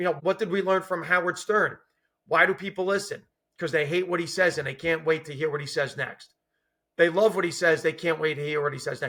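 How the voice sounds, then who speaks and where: A man with a New Jersey accent, high-pitched, bright and sharp in tone, at a fairly quick pace. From US, New Jersey. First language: Italian and Sicilian dialect. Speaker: former judge turned stand-up comedian. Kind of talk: casual chat. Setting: face-to-face podcast interview.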